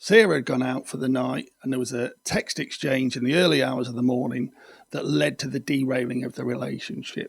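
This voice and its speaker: Vocal fry marks a man's speech at a medium pitch. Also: ordinary pitch variation, fairly quick pace. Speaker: video podcast host on controlling behaviour. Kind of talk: explanatory monologue.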